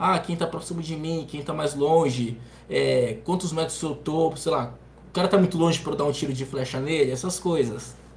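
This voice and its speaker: Here a man with an ordinary speaking voice and fairly high pitch speaks at a moderate pace, with ordinary pitch variation. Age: 20s. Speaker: gamer and streamer. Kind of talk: casual chat.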